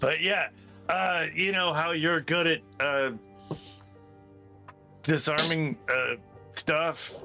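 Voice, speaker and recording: Putting on a raspy character voice, a man speaks very slowly in a fairly high pitch with fairly even intonation, very even loudness and long, frequent pauses, while clear music plays in the background. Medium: actual play. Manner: calm, matter-of-fact.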